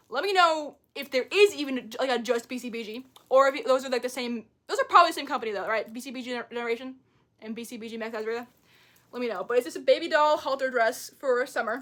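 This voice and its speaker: An animated woman with an American accent talks very fast at a high pitch with ordinary pitch variation. Her loudness swings widely. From New York. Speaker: thrift haul vlogger. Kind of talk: casual haul video monologue.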